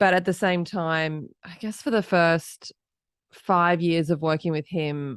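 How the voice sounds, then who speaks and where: Over a quiet background, a woman with an Australian accent speaks at a moderate pace with fairly even intonation. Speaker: entrepreneur, company founder. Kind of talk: podcast interview.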